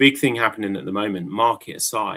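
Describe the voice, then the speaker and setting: An English accent at a moderate pace. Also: man. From England. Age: 40s. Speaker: crypto project representative. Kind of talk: live stream AMA chat.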